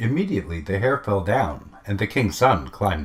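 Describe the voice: Plain reading aloud, delivered with lively intonation.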